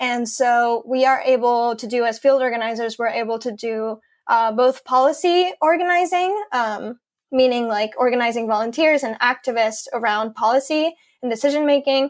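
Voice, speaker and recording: Recorded very cleanly over a silent background, a woman with a Spanish accent speaks at a high pitch and a moderate pace, with ordinary pitch variation. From Mexico City, Mexico. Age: 20s. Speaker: environmental field organizer. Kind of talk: interview. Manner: hesitant, many fillers.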